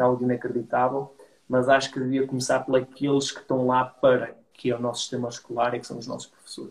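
A man with a medium pitch talks at a very fast pace in a monotone, flat intonation, his loudness swinging widely. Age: 30s. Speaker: entrepreneur. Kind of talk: casual interview chat.

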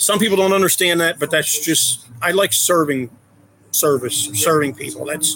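A plain, everyday voice with ordinary pitch variation, moving at a moderate pace. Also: man. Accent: American. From Philadelphia area, US. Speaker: adoptive father, IT worker. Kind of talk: casual interview chat.

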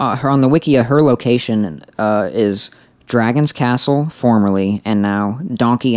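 An unforced reading voice shifts in pitch in an ordinary way.

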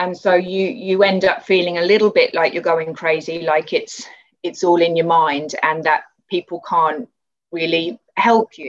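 A woman with a British accent speaks at a fairly slow pace, her fairly low pitch held in fairly even intonation. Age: 40s. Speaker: artist and movement client. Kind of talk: interview.

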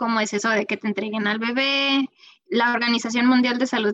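The voice shows ordinary pitch variation, heard in a dry, close sound with no echo. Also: woman. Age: 30s. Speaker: real estate agent and mother. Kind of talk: casual interview.

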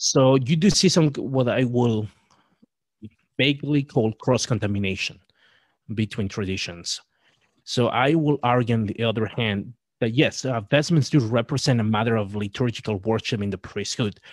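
Speaking in a normal speaking voice, a man uses ordinary pitch variation. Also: medium pitch for a man, moderate pace, very clean recording, silent background. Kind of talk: casual interview discussion.

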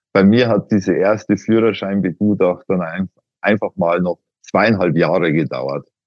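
A man speaks at a fairly slow pace. He has an ordinary speaking voice. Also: fairly low pitch for a man, ordinary pitch variation. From Upper Bavaria, Miesbach district. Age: 40s. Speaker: patient, IT security consultant. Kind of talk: interview.

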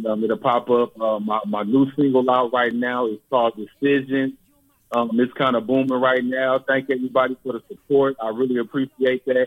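An American accent marks this man's speech at a medium pitch. His intonation is monotone and flat, at a moderate pace. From San Francisco Bay Area, California. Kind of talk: interview. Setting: phone call.

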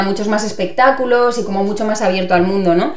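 A woman speaks at medium pitch with ordinary pitch variation. Noticeable background noise and audible room echo surround her. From Spain, Mallorca. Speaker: actress and theatre teacher. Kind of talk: casual chat.

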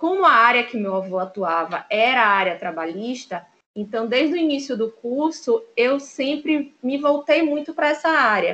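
A woman speaks at a moderate pace. Her voice is high in pitch. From Bahia, Brazil (Salvador). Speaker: lawyer. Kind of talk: interview.

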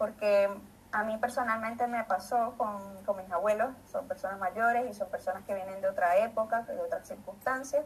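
A woman with a fairly high pitch talks at a moderate pace with fairly even intonation. Noticeable background noise runs behind her. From Venezuela, Maracay. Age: 30s. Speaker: biologist. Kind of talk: panel talk. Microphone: echo.

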